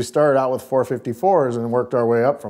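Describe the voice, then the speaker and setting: The man's tone is dark and mellow. Behind him, the background stays quiet. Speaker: guest. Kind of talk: interview answer. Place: studio. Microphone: lapel.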